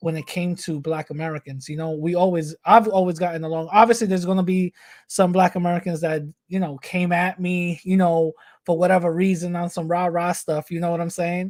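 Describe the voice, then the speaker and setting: In a very clean recording with a silent background and a dry, close sound with no echo, a man speaks fairly quickly at a high pitch with flat, monotone intonation. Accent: New York. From New York, the Bronx. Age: 30s. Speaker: activist. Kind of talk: interview. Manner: halting.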